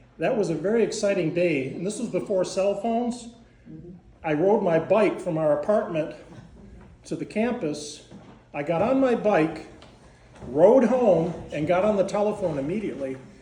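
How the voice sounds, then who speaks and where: With an American accent, a man speaks in a high voice at a moderate pace, leaving long, frequent pauses amid audible room echo and noticeable background noise. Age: 70s. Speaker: gardening instructor. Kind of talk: class talk. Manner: halting.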